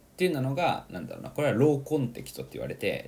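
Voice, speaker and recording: A man talks at a very fast pace. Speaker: podcast host. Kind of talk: casual monologue. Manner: animated.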